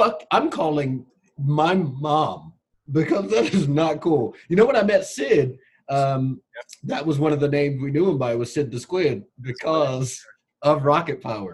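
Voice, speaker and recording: A somewhat breathy man's voice with an American accent, fairly high in pitch. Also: ordinary pitch variation, fairly slow pace. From US West Coast, Long Beach, California. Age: 30s. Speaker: podcast guest. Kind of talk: casual chat. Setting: video call. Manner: animated. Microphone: poor audio quality.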